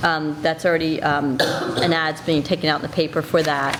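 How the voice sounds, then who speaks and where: Noticeable background noise sits behind a woman with an American accent. She speaks at a moderate pace with a fairly low pitch. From South Jersey, US. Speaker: school administrator. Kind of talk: committee meeting presentation. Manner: hesitant fillers.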